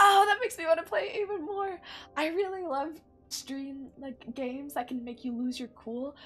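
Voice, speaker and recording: Over music in the background, a woman speaks in a high pitch with lively intonation. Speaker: vtuber streamer. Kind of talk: gameplay commentary.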